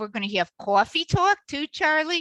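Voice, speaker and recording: A woman with a slight Chicago accent speaks at a fairly slow pace in a bright, sharp tone. The sound is dry and close with no echo, against a quiet background. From Chicago, US Midwest. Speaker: faith teacher and mentor. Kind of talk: testimony.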